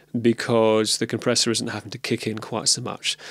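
A soft-spoken man at a fairly quick pace and medium pitch. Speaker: video podcast host. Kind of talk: casual monologue. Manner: soft, even level close to mic; hesitant with ums.

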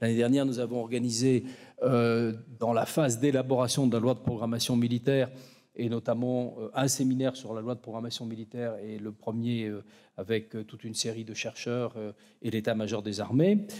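A man's dark, mellow tone at a moderate pace, monotone and flat in intonation, with big swings in loudness over a quiet background. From France. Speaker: academic chair director. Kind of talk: formal speech. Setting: lecture hall with audience. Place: hall. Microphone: podium.

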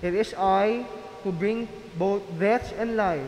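Through light background noise and audible room echo, a man with a high pitch speaks at a very slow pace. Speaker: lector reading scripture and prayers. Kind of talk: reading aloud, scripture and intercessions. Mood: solemn and measured. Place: church. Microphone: podium.

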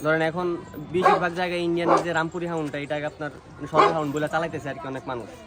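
Noticeable background noise runs under a man's voice. He speaks fairly high in pitch with fairly even intonation. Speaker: dog breeder. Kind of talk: casual interview.

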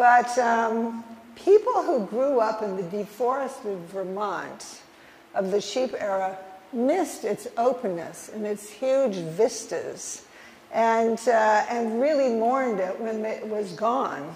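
Over light background noise, a woman with an American accent speaks at a very slow pace in a fairly high pitch. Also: ordinary pitch variation. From Minnesota. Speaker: historian. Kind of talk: lecture. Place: hall. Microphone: podium.

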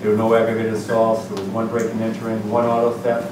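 A man speaks at a fairly quick pace amid audible room echo and noticeable background noise. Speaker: police official giving crime report. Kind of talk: meeting report. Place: meeting room. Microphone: camera far.

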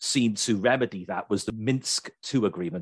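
A man with a British accent speaks at a moderate pace and fairly low pitch, with ordinary pitch variation. The sound is dry with no echo, over a quiet background. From Britain. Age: 30s. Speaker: podcast host. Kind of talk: political discussion. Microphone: video call.

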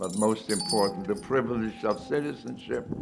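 With music in the background, a man speaks at a fairly slow pace and fairly low pitch, his intonation lively. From Germany. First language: German. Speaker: Holocaust survivor. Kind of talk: personal testimony.

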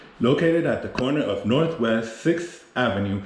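Moderate pace from a man, ordinary pitch variation, audible room echo. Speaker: travel vlogger. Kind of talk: tour-guide commentary. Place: street. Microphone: phone near.

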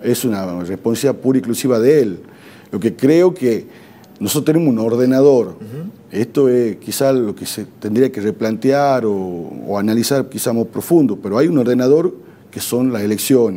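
At a moderate pace, a man with a medium pitch and a dark, mellow tone speaks with lively intonation. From Argentina. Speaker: provincial government official, former legislator. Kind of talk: TV interview. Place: studio. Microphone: lapel.

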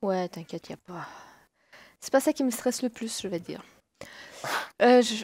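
A woman speaks at a moderate pace in a fairly high pitch with lively intonation, big swings in loudness and long, frequent pauses, the sound dry and close with no echo. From Quebec, Saguenay. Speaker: gamer. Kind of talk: casual chat.

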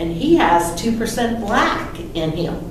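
Speech at a very slow pace with ordinary pitch variation comes through noticeable background noise and audible room echo. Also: woman. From Pennsylvania, Johnstown area. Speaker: local historian. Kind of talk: lecture. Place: meeting room. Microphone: camera far.

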